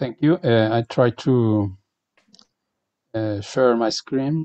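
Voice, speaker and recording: Very slowly and with a non-native accent, a man speaks at a medium pitch in a dark, mellow tone with ordinary pitch variation. The sound is dry and close, with no echo. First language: Spanish. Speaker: professor, keynote speaker. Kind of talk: lecture. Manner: halting.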